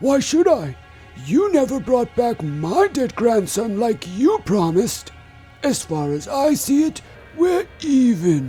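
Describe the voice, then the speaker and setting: Over clear background music, a man puts on a character voice at an extremely high pitch, swinging very widely in pitch at a fairly slow pace. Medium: audio drama.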